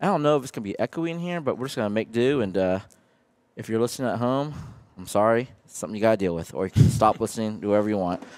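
Speaking at a very fast pace, a man shows big swings in loudness. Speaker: podcast host. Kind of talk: podcast interview intro. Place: cafe.

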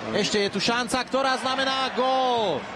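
Against noticeable background noise, a man speaks fairly slowly with monotone, flat intonation. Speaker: sports commentator. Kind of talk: live ice hockey play-by-play commentary, voiced over highlights. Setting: commentary booth at the arena.

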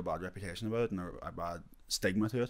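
A man's voice sits at a medium pitch. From UK. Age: 20s. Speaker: podcast co-host. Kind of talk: casual chat. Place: studio. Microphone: handheld.

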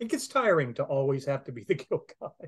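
Nothing much sounds in the background. The male speaker keeps to a fairly slow pace. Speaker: video chat host. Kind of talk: casual interview talk. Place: home room. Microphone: video call.

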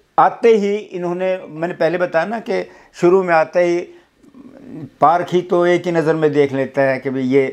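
Over a quiet background, a man talks at a fairly slow pace. His voice is high in pitch, with ordinary variation. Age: 70s. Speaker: retired university cultural director and comic film actor; former student recalling his teacher. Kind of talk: reminiscing interview. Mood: reverent, earnest. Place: home room.

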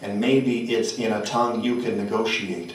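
There is audible room echo as a man speaks at a medium pitch and a moderate pace, his voice gravelly and intense in tone. His intonation stays fairly even. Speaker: poet. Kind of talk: poetry reading. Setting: stage with audience. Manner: intense, incantatory, rhythmic; emphatic, gritty delivery. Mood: solemn, measured. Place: hall.

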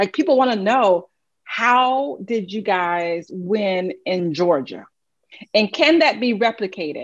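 A woman at a very slow pace, with very wide pitch swings, over a quiet background. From US South. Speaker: political strategist and moderator; moderator. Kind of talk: interview. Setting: video call. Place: home room. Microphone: video call.

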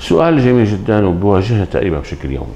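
Speaking at a moderate pace with a Syrian accent, a man has a very deep, low pitch, a dark, mellow tone, vocal fry, and lively intonation. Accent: Syrian Levantine Arabic. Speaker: pediatric dentist. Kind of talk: interview. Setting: dental clinic. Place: office.

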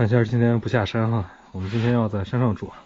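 A man speaks fairly quickly, with light noise in the background. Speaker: travel vlogger. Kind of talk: casual vlog chat. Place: garage. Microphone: phone near.

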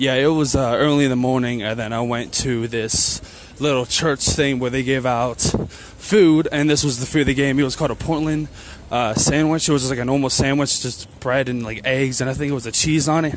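A man with an American accent speaks at a fairly quick pace with fairly even intonation. Light background noise sits under a dry sound with no echo. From southwestern Pennsylvania. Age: 20s. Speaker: vlogger. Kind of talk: casual vlog talk to camera. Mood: tired but friendly. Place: street. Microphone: phone near.

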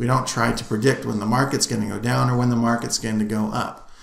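A man speaks very fast in a flat monotone. The room gives an audible echo. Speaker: instructor. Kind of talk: lecture. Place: home room. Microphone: webcam.

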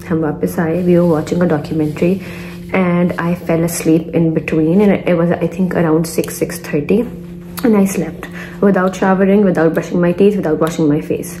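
Against light background noise, a woman with a fairly low pitch speaks at a fairly quick pace in a monotone, flat delivery. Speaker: vlogger. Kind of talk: casual vlog chat. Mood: relaxed, cheerful. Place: home room. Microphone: phone near.

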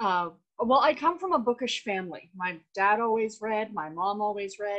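A woman's fairly high voice with lively intonation and a Canadian accent, over a quiet background. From Canada. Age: 40s. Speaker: book YouTuber. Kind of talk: casual chat. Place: home room. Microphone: video call.

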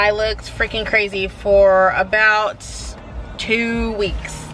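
A woman speaks over light background noise. The sound is dry, with no echo. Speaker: vlogger. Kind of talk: casual vlog chat. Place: car. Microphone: phone near.

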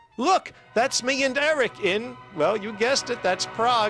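Over music in the background, a man talks with a high pitch. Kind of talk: first-person narration of animated short film.

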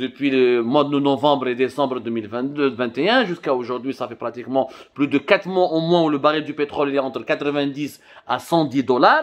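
A man at a fairly slow pace with ordinary pitch variation and a quiet background. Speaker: news commentator. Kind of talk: commentary. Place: office. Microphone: phone near.

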